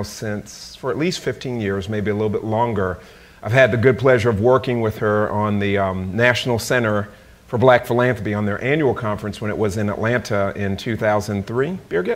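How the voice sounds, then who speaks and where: A man with an unremarkable speaking voice talks at a fairly low pitch with ordinary pitch variation. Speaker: speaker. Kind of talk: lecture. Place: hall. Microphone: podium.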